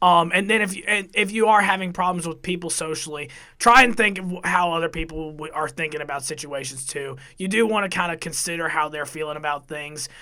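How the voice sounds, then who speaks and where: Bright and sharp in tone, a man speaks at a fairly quick pace and high pitch with ordinary pitch variation. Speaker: college radio production director. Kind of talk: casual podcast chat.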